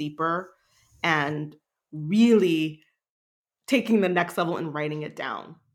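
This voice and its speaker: At a fairly slow pace, a woman talks in an unremarkable speaking voice with ordinary pitch variation, in a very clean recording with a silent background. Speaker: leadership coach and artist. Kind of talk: casual chat.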